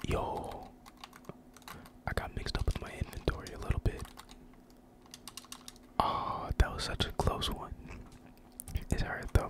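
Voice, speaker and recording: A man whispering in a relaxed tone at a fairly slow pace, with long, frequent pauses. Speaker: gaming ASMR creator. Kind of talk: ASMR gaming commentary. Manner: whispered, relaxed. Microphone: studio mic.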